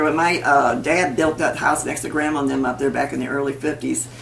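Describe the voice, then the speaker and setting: A woman with an American accent talks at a very fast pace with ordinary pitch variation. Audible room echo and noticeable background noise fill the recording. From US Midwest, St. Charles County, Missouri. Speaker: parishioner. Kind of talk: oral history interview. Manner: halting.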